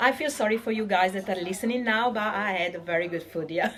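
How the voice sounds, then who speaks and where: Speaking fairly quickly in a medium pitch, a woman's voice rises and falls in an ordinary way while noticeable noise fills the background. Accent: Italian. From Venice, Italy. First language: Italian. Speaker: podcast host. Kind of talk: casual interview. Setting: in a restaurant.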